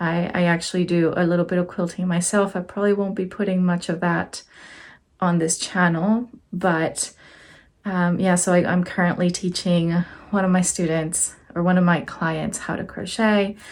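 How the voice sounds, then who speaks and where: A flat, monotone delivery carried in a Spanish accent. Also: woman, fairly low pitch for a woman, moderate pace. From Mexico. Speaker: crochet teacher and support worker. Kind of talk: casual vlog talk.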